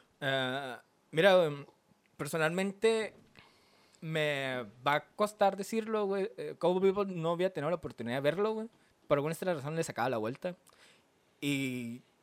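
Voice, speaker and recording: With a Mexican accent, a man speaks at a moderate pace in a fairly high voice, using lively intonation and long, frequent pauses. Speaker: anime podcast co-host. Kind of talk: casual chat.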